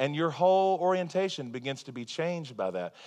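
A normal speaking voice at a moderate pace, with ordinary pitch variation and a quiet background. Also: man. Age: 30s. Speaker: pastor. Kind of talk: sermon. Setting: church.

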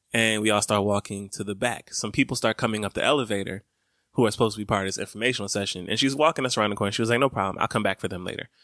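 A man with an Atlanta accent speaks very fast at a fairly low pitch, his intonation fairly even. The recording is very clean, with a silent background and a dry, close sound with no echo. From Brooklyn and Atlanta. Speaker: podcast co-host. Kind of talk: casual chat.

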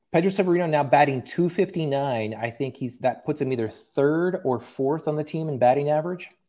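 Against a quiet background, a man with an American accent talks at a fairly quick pace with hardly any pauses, his tone dark and mellow and his pitch fairly high. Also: ordinary pitch variation. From Oklahoma (Tulsa). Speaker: sports podcast host. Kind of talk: casual chat.

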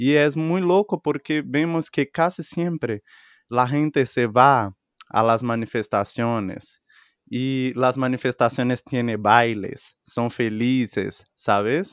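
A man at a medium pitch and a very slow pace, in dry, close sound with no echo and a quiet background. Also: ordinary pitch variation. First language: Portuguese (speaking Spanish). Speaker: podcast co-host. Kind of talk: casual chat.

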